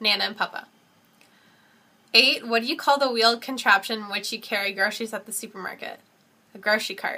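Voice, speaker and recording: With a Canadian accent, a woman talks at a moderate pace in a fairly high voice. Her tone is bright and sharp, her intonation fairly even. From Canada. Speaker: vlogger. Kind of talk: casual talk to camera. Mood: relaxed, smiling. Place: home room. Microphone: webcam.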